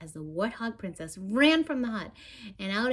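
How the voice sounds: The voice reads naturally. It takes the text aloud.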